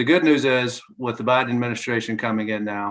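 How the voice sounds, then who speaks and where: Talking at a moderate pace, a man uses a medium pitch and fairly even intonation. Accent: Southern US. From North Carolina. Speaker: clean energy advocacy spokesperson. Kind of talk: press briefing.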